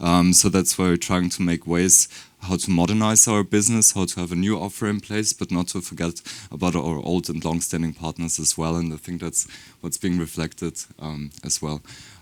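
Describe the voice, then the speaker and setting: With a German accent, a man talks at a moderate pace and fairly even intonation. His pitch is very deep and low, and the recording is very clean with a silent background. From Germany. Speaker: beauty brand marketer. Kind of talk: panel discussion.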